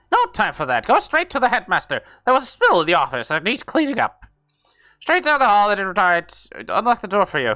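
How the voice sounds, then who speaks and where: Using a put-on character voice, a man speaks at a high pitch and a fairly quick pace with very wide pitch swings. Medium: game stream. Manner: curt, grudging.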